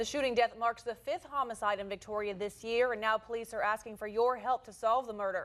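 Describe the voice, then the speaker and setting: Over music in the background, a woman speaks at a very fast pace with a fairly high pitch and ordinary pitch variation. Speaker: television news anchor. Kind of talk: local TV news anchor delivery.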